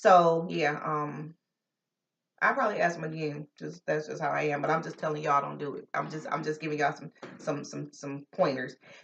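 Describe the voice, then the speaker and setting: A woman talks at a fairly quick pace with an American accent. Her loudness swings a lot. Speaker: vlogger. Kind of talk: casual vlog talk. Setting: at home. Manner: energetic.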